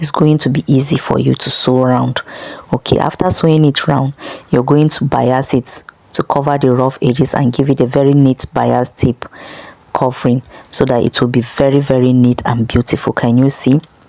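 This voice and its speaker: A woman's very deep, low voice in monotone, flat intonation at very even loudness, dry and close with no echo, over noticeable background noise. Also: moderate pace. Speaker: sewing instructor. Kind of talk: tutorial.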